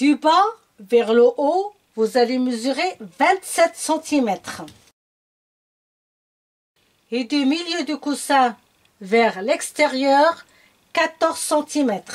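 A woman talks at a very slow pace with a high pitch and lively intonation. Long, frequent pauses break up her speech against a quiet background. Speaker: sewing tutor. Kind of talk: tutorial.

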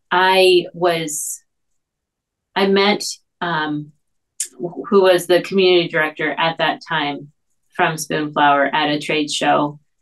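A woman speaks very slowly at a fairly low pitch. Her pitch varies in an ordinary way against a quiet background. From Puerto Rico. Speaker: illustrator and online art teacher; guest. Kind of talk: interview. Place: home room. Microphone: webcam.

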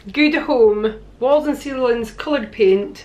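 Faint music plays behind a woman who speaks at a fairly slow pace. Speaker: DIY vlogger. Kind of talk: tutorial. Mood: cheerful, chatty. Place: home room.

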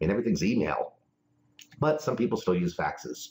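A man talks at a fairly quick pace with a medium pitch, very wide pitch swings and vocal fry. The background is quiet. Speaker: real estate broker teacher. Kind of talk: tutorial. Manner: informal, opinionated, direct. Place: office. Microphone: webcam.

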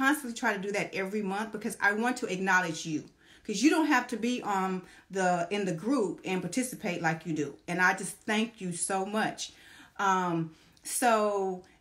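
Ordinary pitch variation at a moderate pace, with a quiet background. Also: woman. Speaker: social media vlogger. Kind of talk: casual vlog chat. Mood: warm and grateful. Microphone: phone near.

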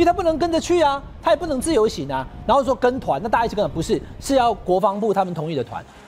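A man talking at a very fast pace with very wide pitch swings, over light background noise. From Taiwan. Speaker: political commentator. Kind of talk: TV talk show panel discussion. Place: studio.

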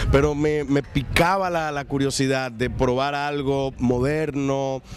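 A man talks at a very slow pace, with noticeable background noise behind him. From Dominican Republic. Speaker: actor and comedian. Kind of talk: interview answer. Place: hall. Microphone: handheld.

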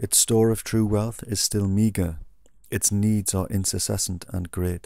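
A man's fairly low-pitched voice, dark and mellow in tone, holds a monotone, flat intonation in a very clean recording with a silent background. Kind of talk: poetry reading.

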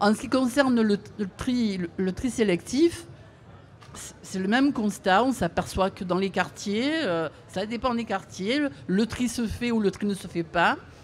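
Under light background noise, a woman at a fairly high pitch speaks at a very slow pace with ordinary pitch variation and long, frequent pauses. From Marseille, southern France. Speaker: audience member. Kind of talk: audience question. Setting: outdoor event with audience. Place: street.

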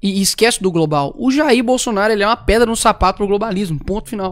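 Fairly quick speech in a Minas Gerais accent against a quiet background. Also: man. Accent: mineiro Brazilian Portuguese. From Belo Horizonte, Brazil. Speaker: talk show co-host. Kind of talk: casual chat. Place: studio. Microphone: studio mic.

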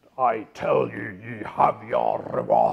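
A man puts on a character voice with a Scottish accent. He speaks at a fairly slow pace. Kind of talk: Calvinist preacher.

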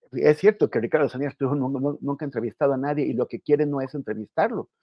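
Against a quiet background, a man's fairly high voice comes through dry, with no echo. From northern Mexico. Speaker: journalist. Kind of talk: panel discussion. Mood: critical, firm. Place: home room. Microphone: earbuds.

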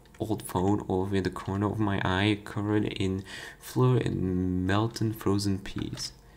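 An unforced reading voice moves along with fairly even intonation.

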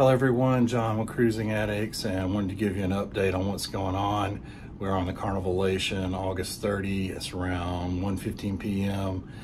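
With hardly any pauses, a man speaks at a moderate pace in a fairly low pitch and fairly even intonation over noticeable background noise. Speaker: cruise vlogger. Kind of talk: casual vlog update. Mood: calm, informative. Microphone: phone near.

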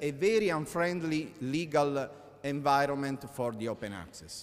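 Speaking at a fairly slow pace with an Italian accent, a man shows ordinary pitch variation amid audible room echo. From Italy. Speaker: law professor. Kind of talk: conference talk. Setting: conference hall with audience. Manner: halting, many hesitations.

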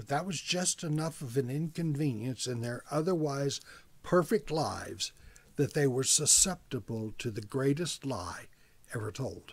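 Somewhat breathy, a man speaks at a fairly slow pace with lively intonation. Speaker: preacher, church message speaker. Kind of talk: sermon delivered to camera. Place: office. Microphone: webcam.

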